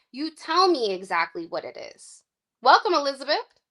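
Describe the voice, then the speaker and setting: At a moderate pace, a woman with an extremely high pitch uses a raised, projected voice with very wide pitch swings and an animated, bright, sharp tone in a very clean recording with a silent background. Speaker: tarot card reader. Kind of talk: live-stream reading. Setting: live stream. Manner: loud.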